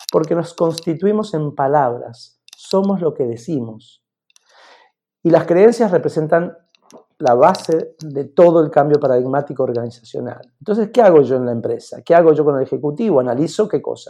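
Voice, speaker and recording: The tone is dark and mellow. Intonation is lively, and the pace is moderate. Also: man, fairly high pitch for a man. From Argentina. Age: 50s. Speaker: executive coach. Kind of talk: interview.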